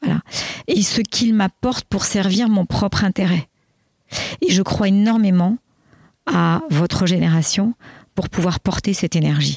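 At a fairly slow pace with long, frequent pauses, a woman speaks at a medium pitch in a somewhat breathy voice with ordinary pitch variation and very even loudness, the sound dry and close with no echo. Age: 60s. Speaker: executive coach. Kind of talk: interview. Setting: outdoors.

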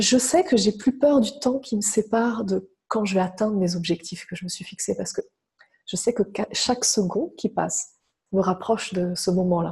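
A woman's somewhat breathy, dark and mellow voice with lively intonation at a moderate pace. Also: medium pitch for a woman. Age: 30s. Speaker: relationship coach. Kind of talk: interview.

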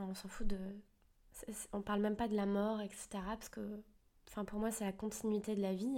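Her tone dark and mellow, a woman talks at a moderate pace with a medium pitch. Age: 20s. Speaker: self-help podcaster. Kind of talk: motivational monologue.

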